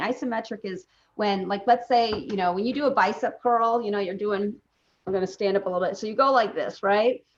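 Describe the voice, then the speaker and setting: Her pitch sits at a medium level for a woman. She talks fairly quickly with ordinary pitch variation. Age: 40s. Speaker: physician. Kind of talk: interview. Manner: halting.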